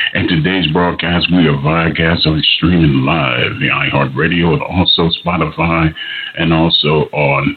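A man's very deep, low voice at a fairly slow pace, very even in loudness, over noticeable background noise. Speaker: radio show host. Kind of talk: casual, affectionate radio patter. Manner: warm, effusive, enthusiastic.

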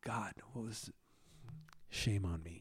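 A man with an American accent, somewhat breathy, at a very slow pace, on a very clean recording with a silent background. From New York City. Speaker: live sound engineer. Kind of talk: interview. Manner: halting, repeats words.

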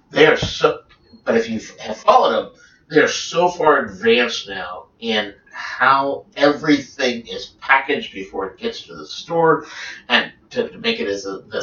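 A man speaks at a moderate pace, his loudness swinging widely. Background noise is noticeable. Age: 50s. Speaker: technical trader. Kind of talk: casual chat. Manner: halting.

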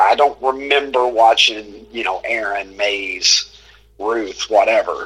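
Fairly slow speech from a man, over noticeable background noise. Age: 40s. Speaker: sports social media personality. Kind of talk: casual interview.

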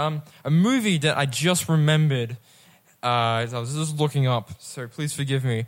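A man with a fairly high pitch has an ordinary speaking voice and ordinary pitch variation. He speaks at a moderate pace on a very clean recording with a silent background. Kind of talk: casual chat. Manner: casual, filler-heavy.

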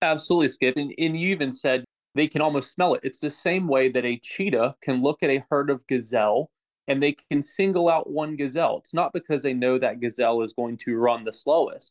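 A plain, everyday voice speaks fairly quickly with an American accent and ordinary pitch variation. The sound is dry and close, with no echo. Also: man, fairly high pitch for a man. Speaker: self-defense instructor. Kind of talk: expert commentary.

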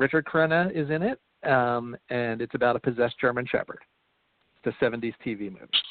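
A man with an American accent uses a normal speaking voice at a medium pitch, moving at a fairly quick pace with ordinary pitch variation. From Philadelphia, US. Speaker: comedy writer and movie riffer. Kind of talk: casual interview chat. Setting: internet radio show.

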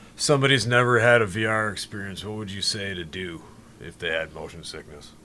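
A man with an American accent uses ordinary pitch variation in a plain, everyday voice. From Wisconsin, outside Milwaukee. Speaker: student teacher, guest co-host. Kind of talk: casual chat.

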